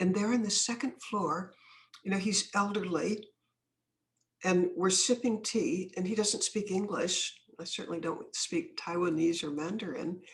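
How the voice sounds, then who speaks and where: Somewhat breathy, a woman talks at medium pitch and a moderate pace. Her pitch variation is ordinary. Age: old. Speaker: anti-trafficking activist and author. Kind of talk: podcast interview, storytelling.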